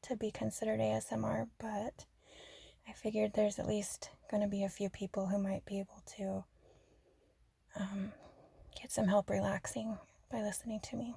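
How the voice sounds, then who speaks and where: Her voice is somewhat breathy, with a dark, mellow tone and a medium pitch for a woman. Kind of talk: relaxing ASMR-style rambling talk. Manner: soft-spoken, not whispery.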